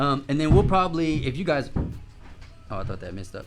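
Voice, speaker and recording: A man talks at a fairly quick pace amid audible room echo and music in the background. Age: 30s. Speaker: podcast host. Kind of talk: casual interview chat. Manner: animated.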